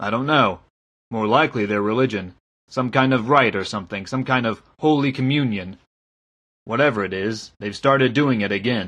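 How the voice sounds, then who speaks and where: Putting on a gruff, rumbling character voice, a man speaks at medium pitch and a moderate pace with ordinary pitch variation against a quiet background. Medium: read story. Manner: gruff, blunt, grumbling.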